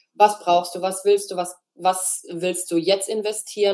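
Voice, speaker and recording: The pace is moderate. A woman talks with a medium pitch. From Freiburg, southwestern Germany. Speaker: graphic designer. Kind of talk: interview.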